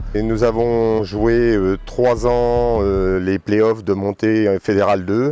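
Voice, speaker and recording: A man speaks very slowly at a fairly low pitch with fairly even intonation, and noticeable background noise can be heard. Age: 60s. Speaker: rugby club veteran and former coach. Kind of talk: interview. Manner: halting, many hesitations.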